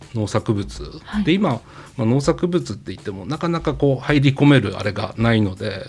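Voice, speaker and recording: Very wide pitch swings mark this man's medium-pitched voice at a moderate pace. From Akita, Japan. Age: 50s. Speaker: company president. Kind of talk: interview.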